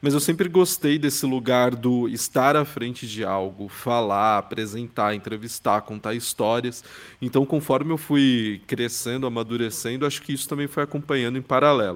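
A man speaks in an ordinary speaking voice at a moderate pace and medium pitch, with ordinary pitch variation and hardly any pauses. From São Paulo, Brazil. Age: 20s. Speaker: journalist and podcast specialist. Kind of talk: interview conversation.

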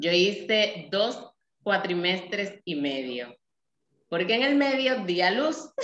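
A woman speaks at a very slow pace in a medium pitch. Her pitch swings very widely. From Dominican Republic, Nagua. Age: 30s. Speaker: mother, project creator. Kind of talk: casual interview. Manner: talkative.

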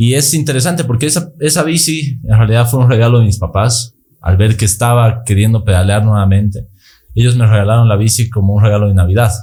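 Talking at a very fast pace with very even loudness, a man has a somewhat breathy, dark, mellow tone, medium pitch and ordinary pitch variation. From Bolivia, Sucre. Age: 20s. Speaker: long-distance cyclist. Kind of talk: casual interview.

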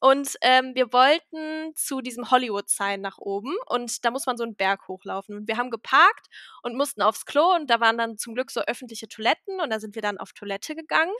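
Her voice high and bright with a sharp tone, a woman talks at a fairly quick pace with hardly any pauses, lively intonation and big swings in loudness, recorded very cleanly with a silent background and a dry, close sound with no echo. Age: 20s. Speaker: podcast co-host. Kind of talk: casual chat.

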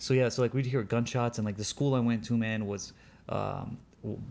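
A man with an Arabic accent, fairly quick in pace, monotone and flat in intonation. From Libya, then Europe, North Africa and US East Coast. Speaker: podcast guest telling life story. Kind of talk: casual chat. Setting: outdoors retreat by a lake.

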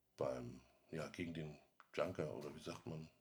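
The voice moves at a moderate pace and carries vocal fry. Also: man. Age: 50s. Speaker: IT specialist, former smoker. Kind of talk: interview.

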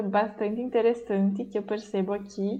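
A woman's dark, mellow voice carries fairly even intonation. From Bento Gonçalves, Rio Grande do Sul, Brazil. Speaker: university student abroad. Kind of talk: casual chat.

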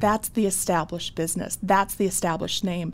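A woman's medium-pitched voice with an Upper Midwest accent and fairly even intonation. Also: very clean recording, silent background. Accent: Upper Midwest American. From North Dakota (Bismarck). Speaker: small business owner. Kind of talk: interview.

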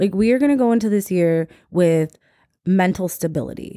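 On a very clean recording with a silent background and a dry, close sound with no echo, a woman speaks in a dark, mellow tone with ordinary pitch variation. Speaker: podcast host. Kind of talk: casual solo chat, monologue. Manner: casual, profane, chatty.

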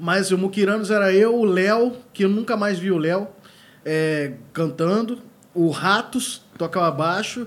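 Pitch moves in an ordinary way. The delivery is fairly slow. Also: man, high pitch for a man. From Sul Fluminense, Rio de Janeiro state, Brazil. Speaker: musician and music teacher. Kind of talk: casual chat.

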